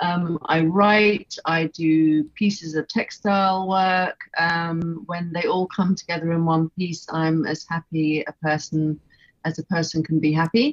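A woman with an English accent speaks in a fairly low pitch at a fairly slow pace. Her intonation is fairly even, and there are hardly any pauses. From England. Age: 50s. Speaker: visual artist. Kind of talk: casual interview chat. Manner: hesitant, many fillers.

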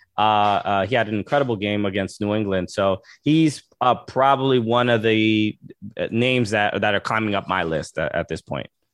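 The pace of this a normal speaking voice is moderate. Its pitch varies in an ordinary way. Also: man, fairly low pitch for a man. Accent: American. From New York, Brooklyn, Dominican family. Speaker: comedian and soccer podcaster. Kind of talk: casual interview.

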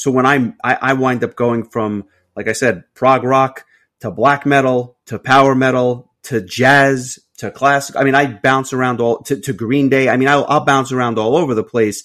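An ordinary speaking voice belongs to a man who keeps fairly even intonation at a moderate pace. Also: medium pitch for a man. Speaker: podcast co-host. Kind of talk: casual interview chat.

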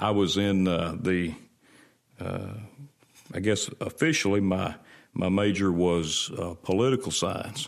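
Speaking with a Mississippi accent, a man uses a very deep, low pitch at a fairly slow pace, with long, frequent pauses and ordinary pitch variation. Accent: US Southern (Mississippi). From Mississippi, Rankin County. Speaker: state legislator, lawyer and pastor. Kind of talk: interview.

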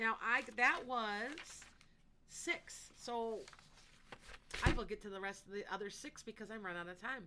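In a bright, sharp tone and fairly high pitch, a woman speaks at a moderate pace with ordinary pitch variation, big swings in loudness and long, frequent pauses. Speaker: psychic. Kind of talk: live psychic readings for callers. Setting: online live stream with chat comments.

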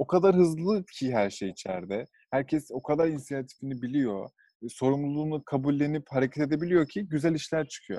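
A dark, mellow voice with lively intonation moves at a fairly quick pace, the sound dry and close with no echo. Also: man, fairly high pitch for a man. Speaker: podcast host. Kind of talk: casual chat.

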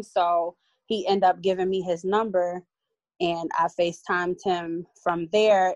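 Recorded dry and close with no echo over a quiet background, a woman speaks at medium pitch with monotone, flat intonation. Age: 30s. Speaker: caller. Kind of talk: casual conversation.

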